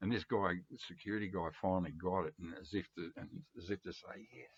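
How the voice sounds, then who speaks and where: With an Australian accent, a man speaks in a very deep, low voice, recorded dry and close with no echo. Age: 70s. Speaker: record collector vlogger. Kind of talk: casual vlog monologue. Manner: rambling with many fillers.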